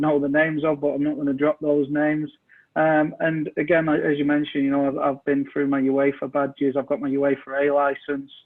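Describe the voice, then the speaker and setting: Speaking with an English accent, a man talks at a fairly quick pace in a fairly high voice. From England, Manchester. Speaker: soccer coach and technical director. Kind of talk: interview.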